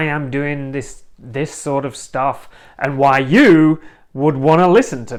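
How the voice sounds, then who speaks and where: A man with an English accent at a fairly slow pace, on a very clean recording with a silent background. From northern England. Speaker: podcast host, relationship coach. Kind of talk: personal introduction monologue. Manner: casual, some hesitations.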